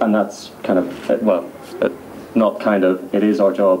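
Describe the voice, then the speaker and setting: With a Northern Irish accent, this man talks at a moderate pace in a fairly low voice with ordinary pitch variation and very even loudness, over noticeable background noise. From Northern Ireland. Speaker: youth panelist. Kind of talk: panel Q&A answer.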